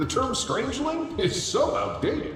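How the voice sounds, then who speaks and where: The put-on character voice carries a strong echo. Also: man. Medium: game stream. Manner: grandiose, theatrical.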